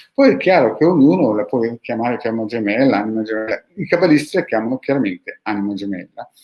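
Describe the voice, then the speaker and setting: A man's medium-pitched voice with lively intonation at a very fast pace. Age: 50s. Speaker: esoteric practitioner, channel host. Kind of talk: video monologue answering followers' questions. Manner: animated.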